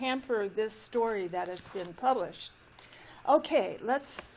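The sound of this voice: A reading voice with nothing forced about it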